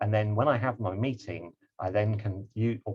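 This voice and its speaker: A man's fairly low-pitched voice comes across somewhat breathy. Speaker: project management trainer. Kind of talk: online lecture. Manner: fast; hesitant, many fillers.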